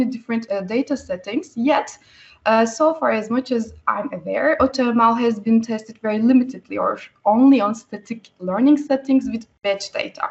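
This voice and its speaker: Lively intonation in a woman's high voice. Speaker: researcher presenting a paper. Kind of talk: technical presentation. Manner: fast.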